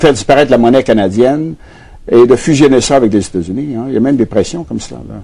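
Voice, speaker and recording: A man talks at a very fast pace with a medium pitch. His tone is dark and mellow, with big swings in loudness. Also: ordinary pitch variation. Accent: Quebec. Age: 70s. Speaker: former politician and economist. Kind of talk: TV interview. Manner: halting, with frequent fillers and repetitions.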